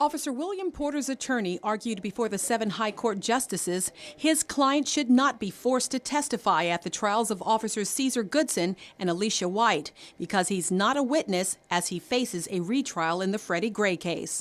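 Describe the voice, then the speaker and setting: A normal speaking voice from a woman, fairly high-pitched and lively in intonation, at a moderate pace. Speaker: TV news anchor and reporter. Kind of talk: TV news anchor and reporter delivery.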